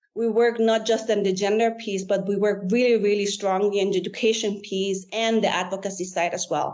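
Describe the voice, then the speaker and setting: A woman of medium pitch talks at a fairly quick pace in a flat monotone, with hardly any pauses. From Guatemala and Germany. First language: German. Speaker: environmental consultant, mining industry executive. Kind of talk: podcast interview.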